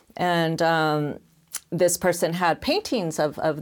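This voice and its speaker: A woman with a Californian accent, a fairly low pitch and fairly even intonation, on a very clean recording with a silent background. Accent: Californian American. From Los Angeles. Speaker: research-based artist. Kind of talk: panel discussion. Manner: halting, many fillers and repetitions.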